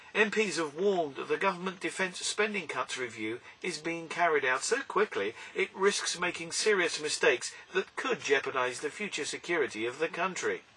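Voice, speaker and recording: Noticeable background noise sits behind the speech. The intonation is lively and the pace moderate. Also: man, high pitch for a man. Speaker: radio news reader. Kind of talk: radio news read. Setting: studio.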